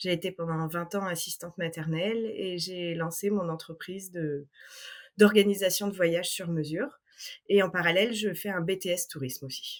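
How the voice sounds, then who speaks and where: Woman with an unremarkable speaking voice, medium pitch, fairly even intonation and a moderate pace. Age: 30s. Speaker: travel planner. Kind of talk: interview.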